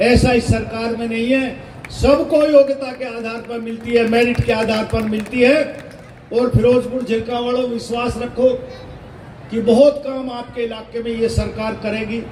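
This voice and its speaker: A man's extremely high-pitched, monotone, flat voice, with audible room echo and noticeable background noise. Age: 60s. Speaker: politician, state minister. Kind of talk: political speech.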